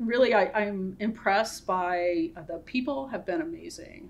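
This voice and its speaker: A woman with an American accent and lively intonation at a fairly slow pace, over light background noise. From US Midwest, northwest Ohio. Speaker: pharmacy school dean, scientist. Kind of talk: interview conversation. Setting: Zoom webinar. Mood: warm, positive. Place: office.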